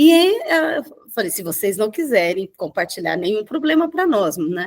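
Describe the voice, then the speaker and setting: The voice belongs to a woman. She swings her pitch very widely. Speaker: mediator. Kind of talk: casual chat. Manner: loud; halting.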